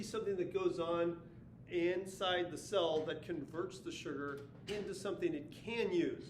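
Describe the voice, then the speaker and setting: High-pitched male voice with ordinary pitch variation and audible room echo. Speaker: science teacher. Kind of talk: video lesson recap. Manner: fast.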